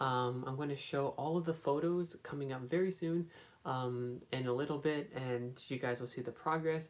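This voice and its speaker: This soft-spoken voice moves along at a moderate pace. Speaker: vlogger. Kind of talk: casual vlog. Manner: soft-spoken, quiet.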